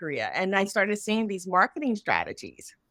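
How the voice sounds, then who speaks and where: A woman with an American accent at medium pitch, a plain, everyday voice, fairly quick pace and ordinary pitch variation, on a very clean recording with a silent background. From United States. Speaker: English language educator and researcher. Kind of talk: panel discussion.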